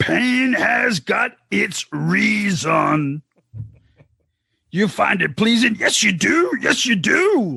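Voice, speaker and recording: A raspy, menacing put-on character voice at a middle pitch and a very slow pace. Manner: menacing, overdone.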